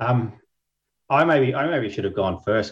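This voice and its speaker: The voice is somewhat breathy, with an Australian accent. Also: man. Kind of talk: panel discussion. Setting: video call webinar.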